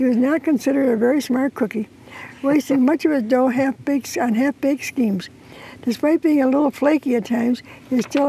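A woman speaks at a moderate pace, her pitch high and her tone dark and mellow. Her pitch varies in an ordinary way, with vocal fry.

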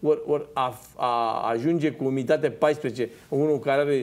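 The man's voice sits fairly high in pitch. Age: 50s. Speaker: farmer and former MP; talk show guest. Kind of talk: TV panel discussion. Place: studio. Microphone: lapel.

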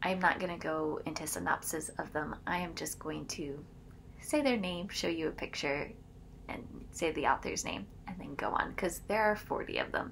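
A woman whispers. She keeps a moderate pace. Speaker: book vlogger. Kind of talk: casual vlog chat. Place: home room. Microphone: phone near.

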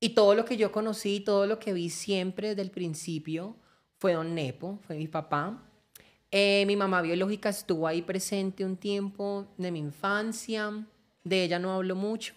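At a moderate pace, a woman of medium pitch talks with fairly even intonation. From Colombia, Valle del Cauca. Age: 20s. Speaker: social media content creator. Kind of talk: personal testimony interview. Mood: reflective, personal life story. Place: studio. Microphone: studio mic.

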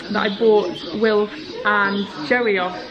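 With noticeable background noise behind her, a woman speaks very slowly, her pitch varying in an ordinary way. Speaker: horse rider vlogger. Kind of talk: casual vlog chat. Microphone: phone near.

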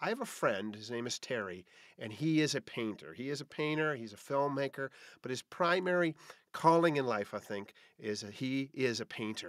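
A man at a moderate pace with lively intonation, dry sound with no echo, and a quiet background. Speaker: podcast host. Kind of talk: podcast monologue. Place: home room.

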